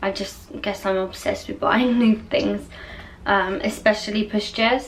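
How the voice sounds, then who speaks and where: A soft-spoken woman talks at a fairly slow pace with a fairly high pitch. Her pitch varies in an ordinary way, and there is noticeable background noise. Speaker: vlogger. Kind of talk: casual chat.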